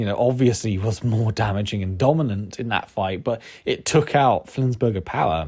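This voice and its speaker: At a moderate pace, a man with a somewhat breathy, medium-pitched voice is heard on a very clean recording with a silent background. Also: ordinary pitch variation. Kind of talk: casual commentary video. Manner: hesitant, many fillers.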